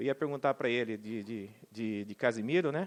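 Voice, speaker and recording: A man's voice sounds dry and close, with no echo. The background is quiet. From Brazil, Cuiabá, Mato Grosso. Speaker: bank manager for government clients. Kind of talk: panel talk at public forum. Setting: auditorium with audience. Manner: informal, conversational.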